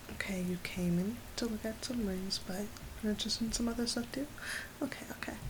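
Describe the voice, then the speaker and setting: Soft-spoken and fairly high in pitch, a woman talks at a fairly quick pace with ordinary pitch variation and very even loudness over noticeable background noise. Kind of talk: asmr roleplay, personal attention shop scene. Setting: rain sounds in background.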